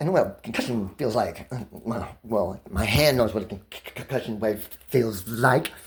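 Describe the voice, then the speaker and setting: Over noticeable background noise, a man with a medium-pitched voice speaks fairly quickly, his intonation lively. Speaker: vlogger telling personal grievances. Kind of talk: casual monologue. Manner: loud; pressured, rapid speech.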